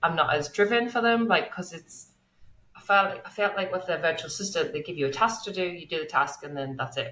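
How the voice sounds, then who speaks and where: Speaking fairly quickly with an English accent, a woman has a fairly low pitch and a bright, sharp tone. Her intonation is lively, and her loudness swings widely. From England. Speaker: online business manager. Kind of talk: interview.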